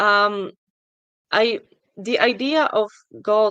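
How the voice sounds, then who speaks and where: Over a quiet background, a woman with a non-native accent speaks with fairly even intonation. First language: not English. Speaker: atheist questioner. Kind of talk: debate. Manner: halting.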